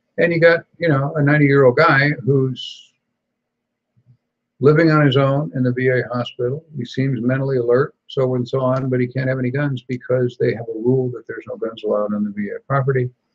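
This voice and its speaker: Somewhat breathy and medium in pitch, this man talks at a fairly quick pace with fairly even intonation. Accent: American. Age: 70s. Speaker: gun rights talk show host. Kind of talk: casual chat.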